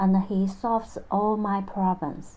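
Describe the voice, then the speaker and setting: A woman's somewhat breathy, dark and mellow voice in a Chinese accent, at a fairly slow pace. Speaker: vlogger telling personal story. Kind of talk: personal narration. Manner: halting non-native phrasing.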